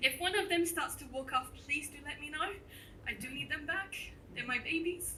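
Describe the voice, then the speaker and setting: Noticeable background noise sits behind a woman's raised, projected voice. Her pitch is high, with ordinary variation. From France, moved to New Zealand at eleven. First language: French. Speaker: entomologist giving a talk. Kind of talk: popular science talk. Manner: animated.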